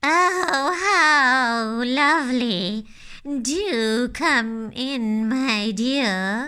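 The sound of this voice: A female-sounding voice in a put-on character, high-pitched, speaks at a very slow pace.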